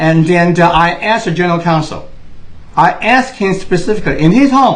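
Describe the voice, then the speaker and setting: A man speaks at a fairly quick pace in a high pitch. Room echo is audible around him. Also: ordinary pitch variation, very even loudness. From Taiwan. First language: Mandarin Chinese. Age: 60s. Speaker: political commentator. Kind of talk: monologue. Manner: impassioned.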